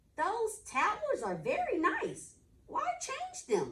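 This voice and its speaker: A squeaky, put-on character voice at an extremely high pitch drags along at a very slow pace. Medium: read story. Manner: chatty, folksy.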